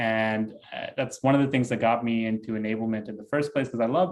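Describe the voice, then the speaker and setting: At a fairly quick pace, a man speaks with a medium pitch. The recording is very clean, its background silent. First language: not English. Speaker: developer advocate and tech video creator. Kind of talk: podcast interview. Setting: home office studio.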